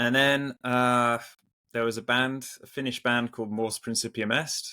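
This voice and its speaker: A man with an English accent speaks at a moderate pace in a flat, monotone way. His tone is bright and sharp, and the sound is dry and close, with no echo. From England. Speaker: metal musician. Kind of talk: casual interview chat. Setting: video call. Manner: halting, repeats words.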